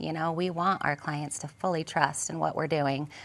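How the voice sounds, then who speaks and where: A woman with a normal speaking voice and an American accent, fairly low in pitch, with fairly even intonation at a moderate pace. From California. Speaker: aesthetician. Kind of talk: interview chat.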